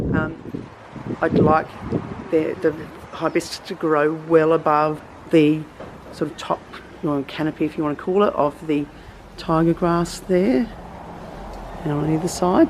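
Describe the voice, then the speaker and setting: With an Australian accent, a woman talks at a fairly slow pace in a very deep, low pitch, with fairly even intonation, long, frequent pauses, and noticeable background noise. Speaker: gardening vlogger. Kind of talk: casual tutorial. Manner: halting, many fillers.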